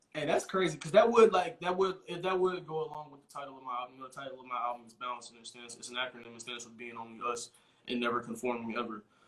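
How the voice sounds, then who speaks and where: With an American accent, a man at a medium pitch talks at a very fast pace with hardly any pauses and big swings in loudness, over noticeable background noise. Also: ordinary pitch variation. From Texas (Dallas area). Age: 20s. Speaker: rapper. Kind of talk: casual chat. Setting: live video interview. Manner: animated.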